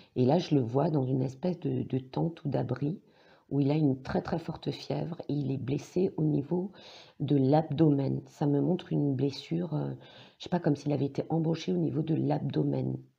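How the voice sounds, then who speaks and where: The voice carries vocal fry and ordinary pitch variation, moving at a moderate pace. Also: woman, very deep, low pitch for a woman. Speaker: psychic, tarot reader. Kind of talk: tarot reading monologue. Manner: hesitant, many fillers.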